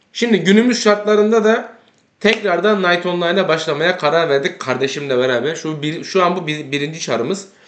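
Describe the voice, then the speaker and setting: A man speaks at a moderate pace in a high pitch, with audible echo from the room. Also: lively intonation. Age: 30s. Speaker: gaming YouTuber. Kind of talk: casual gameplay commentary.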